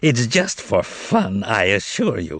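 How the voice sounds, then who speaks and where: Put-on character voice from a man, medium-pitched and fairly slow. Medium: read story. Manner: condescending, theatrical.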